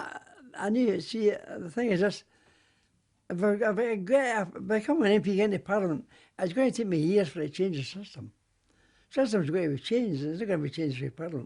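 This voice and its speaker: A man's high voice carries lively intonation. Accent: Glasgow. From Glasgow. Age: 80s+. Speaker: war veteran. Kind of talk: interview answer.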